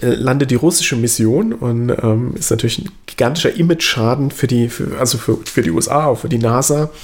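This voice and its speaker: A man speaks at a fairly quick pace with hardly any pauses, his pitch medium and its variation ordinary. Noticeable background noise runs under the recording. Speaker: podcast co-host. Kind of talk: casual chat. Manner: repeats words, halting.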